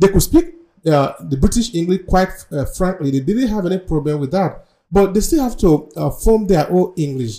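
At a moderate pace, a man speaks in a high voice with a dark, mellow tone and lively intonation. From Nigeria (Edo State). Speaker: podcast host. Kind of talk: interview.

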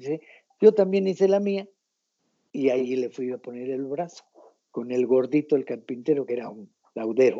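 A man with a fairly high pitch talks at a moderate pace with lively intonation, big swings in loudness, and long, frequent pauses. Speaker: rock guitarist. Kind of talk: interview.

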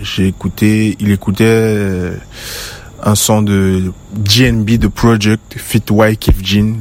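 A man speaks at a fairly low pitch in a monotone, flat way. Noticeable background noise runs underneath. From western Cameroon. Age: 20s. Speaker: musician. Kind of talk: recorded interview answers.

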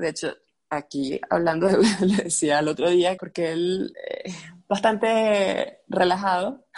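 A woman with a Venezuelan accent, very slow pace, medium pitch and ordinary pitch variation. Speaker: ceramicist, graphic designer. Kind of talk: casual chat. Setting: video call.

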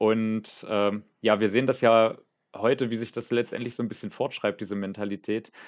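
The delivery comes at a moderate pace. Its intonation is monotone and flat. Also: man, medium pitch for a man. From Brandenburg, Germany. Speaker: youth wing political candidate. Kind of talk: podcast interview.

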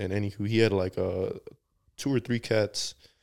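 An American accent marks this man's fairly low voice, heard at a moderate pace in a very clean recording with a silent background. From United States, Mexican family. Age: 20s. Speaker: podcast guest. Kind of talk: casual chat.

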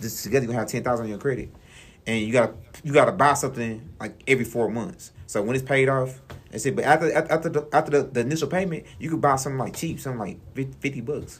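Music plays in the background as a man talks at a very fast pace. His pitch is medium. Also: ordinary pitch variation. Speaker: radio show co-host. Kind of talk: casual chat.

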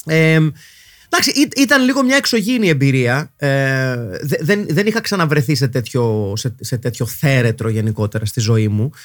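A man speaks at a fairly slow pace with lively intonation. The recording is very clean and the background silent. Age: 40s. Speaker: podcast host. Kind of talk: casual monologue podcast. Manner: halting, frequent fillers.

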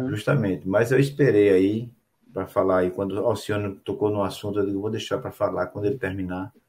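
A man's voice is fairly low and somewhat breathy. He speaks at a fairly quick pace with fairly even intonation. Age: 60s. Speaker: show host and table football organizer. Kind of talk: casual chat. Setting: live stream.

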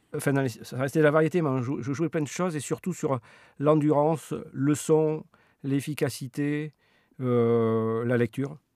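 A man speaks at a fairly high pitch and fairly slow pace with a dark, mellow tone. The sound is dry and close with no echo, on a very clean recording with a silent background. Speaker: professional musician. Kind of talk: casual interview. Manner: halting.

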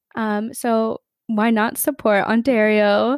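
A woman is talking here. She has a fairly high voice. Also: dry, close sound with no echo, very clean recording, silent background. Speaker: podcast co-host. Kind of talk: casual chat.

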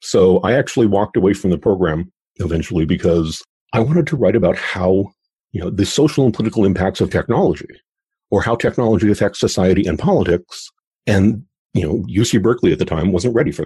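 The voice has a dark, mellow tone, somewhat breathy, with lively intonation. It moves at a very fast pace over a quiet background. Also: man, fairly low pitch for a man. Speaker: futurist. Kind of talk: interview conversation about the future. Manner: thoughtful, hesitant with restarts.

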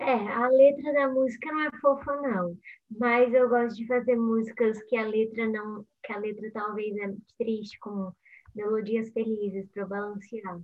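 A woman with a plain, everyday voice speaks at a fairly slow pace, her fairly high pitch held in fairly even intonation. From Brazil, São Paulo state. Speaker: singer and YouTuber. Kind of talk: casual interview.

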